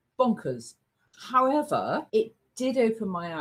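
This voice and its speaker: Pitch swings very widely in this voice with an English accent. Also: woman. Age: 70s. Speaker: travel agent. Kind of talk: casual chat. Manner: animated.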